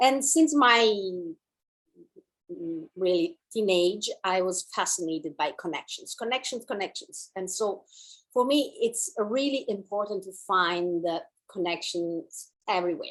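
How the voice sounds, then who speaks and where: Spoken in an Italian accent at a fairly slow pace, the pitch swings very widely. The background is quiet. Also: woman, medium pitch for a woman. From Italy. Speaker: dancer and movement teacher. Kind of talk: online class introduction.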